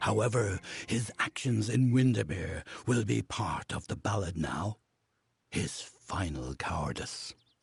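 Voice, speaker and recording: A man puts on a character voice. He talks at a fairly slow pace with a fairly low pitch. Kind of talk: fantasy epic narration. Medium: video game. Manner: formal, measured, ceremonial.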